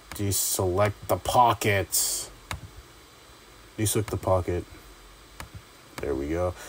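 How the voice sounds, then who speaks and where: The speech moves at a very slow pace with long, frequent pauses. Noticeable background noise is present. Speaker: YouTube tutorial creator. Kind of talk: tutorial. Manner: halting, stuttering; casual, many filler words.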